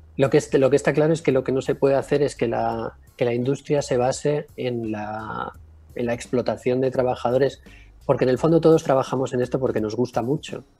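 Over music in the background, a man of medium pitch talks at a fairly quick pace with fairly even intonation. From Mallorca, Spain. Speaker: music producer and concert promoter. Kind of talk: remote interview.

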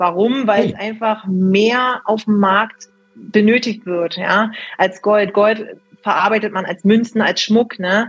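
A woman's fairly high voice, monotone and flat, at a very slow pace. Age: 20s. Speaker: precious metals consultant. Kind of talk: interview.

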